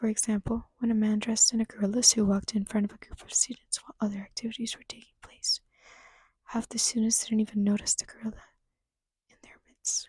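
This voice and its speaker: Whispering at a very fast pace, a soft-spoken woman sounds somewhat breathy, with big swings in loudness. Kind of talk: reading a book aloud, ASMR. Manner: soft-spoken, light whispering.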